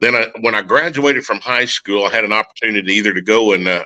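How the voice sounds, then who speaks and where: At a fairly quick pace, a man with a fairly low pitch talks in a bright, sharp tone with ordinary pitch variation. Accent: Oklahoma. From Oklahoma. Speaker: war veteran. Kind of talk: testimony.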